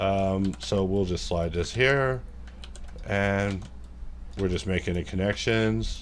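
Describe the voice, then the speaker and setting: A fairly low-pitched man at a very slow pace, long, frequent pauses, lively intonation and very even loudness, with audible room echo. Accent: American. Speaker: 3D modelling tutor. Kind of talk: live modelling tutorial, casual. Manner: casual, rambling asides.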